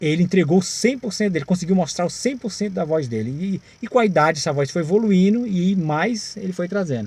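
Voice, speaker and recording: A man's high-pitched voice with lively intonation and a fairly quick pace. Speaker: singer and music channel host. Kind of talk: casual video talk about music history.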